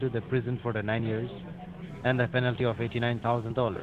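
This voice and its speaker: Amid noticeable background noise, a man talks very fast with fairly even intonation. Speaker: phone scammer posing as a government agent. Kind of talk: scam phone call. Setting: phone line.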